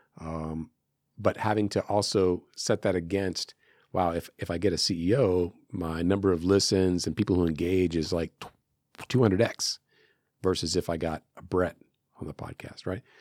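Very clean and silent in the background, the recording has a dry, close sound with no echo. A man with an American accent speaks at a moderate pace in a very deep, low pitch. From US, San Francisco. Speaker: media company CEO and podcast host. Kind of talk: casual interview. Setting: studio.

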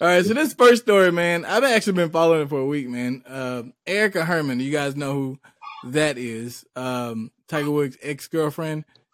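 Using a plain, everyday voice, a man speaks at a moderate pace and fairly high pitch with lively intonation. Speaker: podcast host. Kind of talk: casual chat.

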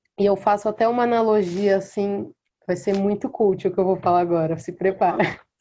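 Speaking at a fairly quick pace, a woman uses a medium pitch with a dark, mellow tone and fairly even intonation. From interior of São Paulo state, Brazil (Mococa). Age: 20s. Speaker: singer-songwriter. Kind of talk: casual interview chat.

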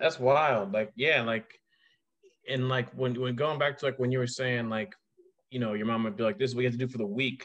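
Against a quiet background, a man speaks in a normal speaking voice with an American accent, using a medium pitch and ordinary pitch variation. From Ohio. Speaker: podcast host and teacher. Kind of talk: casual chat.

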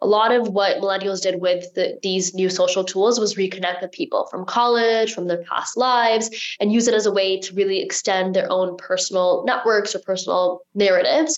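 Amid noticeable background noise, a woman talks fairly quickly with hardly any pauses, in a medium-pitched voice with ordinary pitch variation. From United States. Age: 20s. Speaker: marketing executive and company co-founder. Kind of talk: interview. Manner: fast talker.

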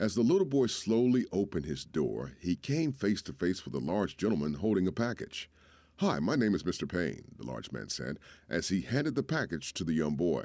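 A man's very deep, low voice with a dark, mellow tone, vocal fry, very wide pitch swings and a fairly quick pace, on a very clean recording with a silent background. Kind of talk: performed poem and dramatic allegory reading, storytelling.

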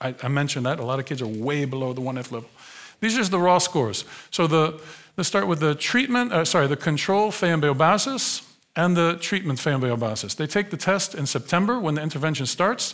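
Fairly quick and lively in its intonation, this voice carries an American accent on a very clean recording with a silent background. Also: man, fairly high pitch for a man. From United States. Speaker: sociologist. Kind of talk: lecture. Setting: stage with audience. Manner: animated.

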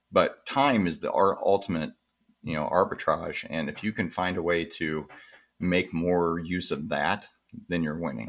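In a very clean recording with a silent background, a man speaks with a very deep, low voice and ordinary pitch variation. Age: 40s. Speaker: marketing agency founder. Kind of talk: casual interview.

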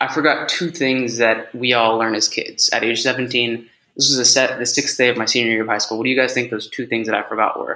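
A man speaks in a Californian accent with monotone, flat intonation. His tone is bright and sharp. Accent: Californian American English. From US, California (San Francisco Bay Area). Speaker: head of sales and public speaker. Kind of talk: casual interview.

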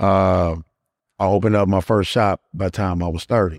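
A man with an American accent and a very deep, low pitch, at a fairly quick pace with fairly even intonation, in a very clean recording with a silent background and a dry, close sound with no echo. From Gary, Indiana. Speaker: barber and real estate investor. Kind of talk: casual chat.

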